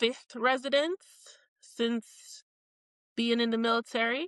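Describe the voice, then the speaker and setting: A woman's fairly high voice in a Jamaican accent, with ordinary pitch variation and a dry, close sound with no echo. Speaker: podcast co-host, military service member. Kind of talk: casual chat.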